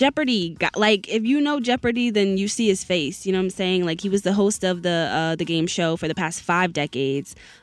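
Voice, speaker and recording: A woman with an unremarkable speaking voice talks at a medium pitch with lively intonation and hardly any pauses. The recording is very clean, with a silent background. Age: 20s. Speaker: college radio host. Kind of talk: casual chat; news reading. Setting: radio studio.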